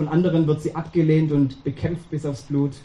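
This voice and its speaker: Fairly high in pitch and at a moderate pace, a man speaks in a plain, everyday voice. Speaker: preacher. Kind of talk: sermon. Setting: church. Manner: warm, conversational, addresses congregation directly with rhetorical questions.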